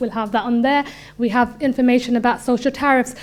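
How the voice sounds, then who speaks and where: A woman talks at a fairly quick pace with a fairly high pitch. Her intonation stays monotone and flat. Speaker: council worker. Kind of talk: presentation. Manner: fast.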